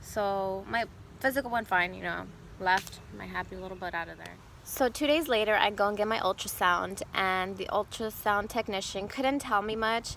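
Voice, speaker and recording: A woman's medium-pitched voice with a bright, sharp tone, ordinary pitch variation and a moderate pace, on a very clean recording with a silent background. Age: 20s. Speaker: vlogger sharing personal cancer story. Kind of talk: personal testimony vlog. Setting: outdoors. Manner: casual, conversational.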